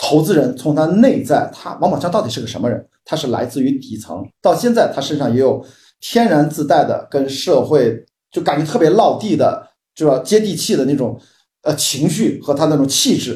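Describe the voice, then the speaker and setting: At a moderate pace, a man talks in a dark, mellow, somewhat breathy tone, his fairly high pitch moving with lively intonation. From Qingdao, Shandong, China. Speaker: film industry commentator. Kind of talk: casual chat. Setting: video call.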